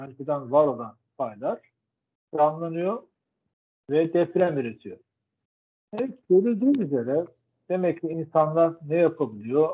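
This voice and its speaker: A man with a fairly high voice talks fairly slowly, with lively intonation, big swings in loudness and long, frequent pauses, over a quiet background. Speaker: professor. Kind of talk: lecture. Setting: video call. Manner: halting. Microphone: video call.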